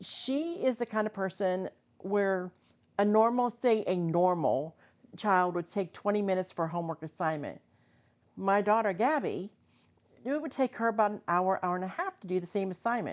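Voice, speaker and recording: A woman with a plain, everyday voice, medium pitch, ordinary pitch variation and a moderate pace, against a quiet background. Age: 60s. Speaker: vlogger. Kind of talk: casual talk to camera.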